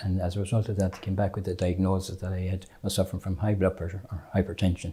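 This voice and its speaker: On a very clean recording with a silent background, a man with a western Irish accent speaks very fast in a very deep, low pitch, his somewhat breathy, dark, mellow tone held in a monotone, flat intonation. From Ireland, County Mayo. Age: 70s. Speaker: patient. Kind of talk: testimony. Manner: halting.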